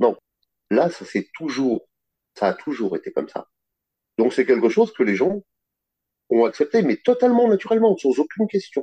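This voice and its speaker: A man with a high pitch speaks in very wide pitch swings and long, frequent pauses, the sound dry and close with no echo. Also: moderate pace. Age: 50s. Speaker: finance worker, dominant interviewee. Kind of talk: interview testimony.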